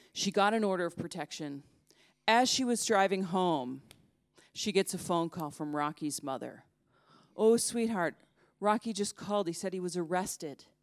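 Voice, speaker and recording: With an American accent, a woman speaks at medium pitch and a moderate pace, with ordinary pitch variation and long, frequent pauses, on a very clean recording with a silent background. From United States. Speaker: journalist. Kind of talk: storytelling talk. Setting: stage with audience.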